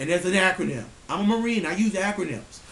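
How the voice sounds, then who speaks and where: Over noticeable background noise, the voice is loud and moves at a moderate pace. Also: man. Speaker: vlogger ranting on camera. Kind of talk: angry rant to camera. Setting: at home, family sleeping. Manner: animated, profane.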